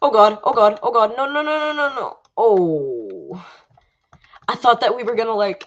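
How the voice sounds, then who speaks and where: Fairly slow in pace, a woman speaks with very wide pitch swings. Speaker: gaming livestreamer. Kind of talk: live gameplay commentary. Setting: livestream.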